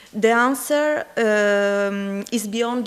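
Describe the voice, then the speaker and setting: Speaking with a strong Italian accent, a woman uses a fairly high pitch and ordinary pitch variation. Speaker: conference presenter. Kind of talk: conference poster presentation. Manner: halting, many fillers.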